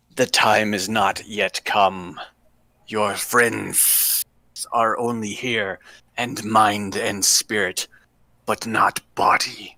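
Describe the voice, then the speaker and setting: Raspy, put-on character voice from a man, very slow in pace, with long, frequent pauses. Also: fairly low pitch for a man. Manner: hissing, ominous.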